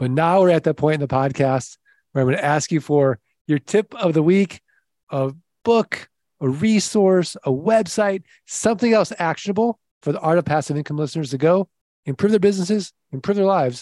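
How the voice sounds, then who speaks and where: Midwestern US accent, dark and mellow tone, lively intonation and a fairly quick pace, in a dry, close sound with no echo and a very clean recording with a silent background. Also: man, high pitch for a man. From US Midwest. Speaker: podcast host. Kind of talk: casual interview chat. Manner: upbeat and animated.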